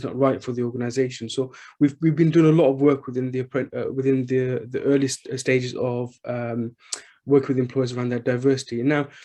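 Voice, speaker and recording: With a Birmingham accent, a man speaks fairly quickly at a medium pitch in a dark, mellow tone and a monotone, flat intonation. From England, Birmingham. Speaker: charity chief executive. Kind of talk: panel discussion. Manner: halting, many fillers.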